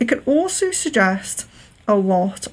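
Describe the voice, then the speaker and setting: Someone with a slight Liverpool accent speaks at a very slow pace against noticeable background noise. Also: woman. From Wirral, near Liverpool, England. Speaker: psychic medium doing palm readings. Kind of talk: live stream palm reading. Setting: live stream. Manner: clear, careful 'telephone voice' diction; hesitant with frequent fillers.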